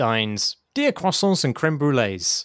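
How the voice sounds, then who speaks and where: In a British accent, a man with a fairly high pitch makes very wide pitch swings, and the very clean recording has a silent background and a dry, close sound with no echo. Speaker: podcast host. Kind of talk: casual chat.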